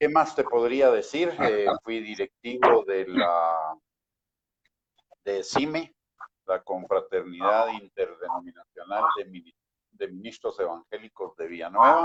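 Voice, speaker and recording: A man's very slow delivery with big swings in loudness. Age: 60s. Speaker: pastor and theology dean. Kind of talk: interview. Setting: online live stream.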